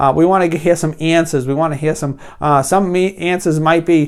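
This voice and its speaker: Fairly high-pitched and fairly quick, a man with a New England accent speaks with fairly even intonation in a very clean recording with a silent background. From New England, US. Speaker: business coach and painting contractor. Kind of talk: tutorial. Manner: casual, hesitant with many fillers.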